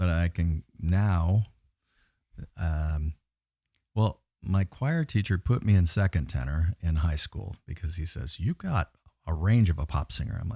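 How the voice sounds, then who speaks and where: In a very clean recording with a silent background and a dry, close sound with no echo, a man with a very deep, low pitch and a dark, mellow, somewhat breathy tone speaks at a fairly slow pace with long, frequent pauses and ordinary pitch variation. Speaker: metal vocalist and record label owner. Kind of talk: casual chat.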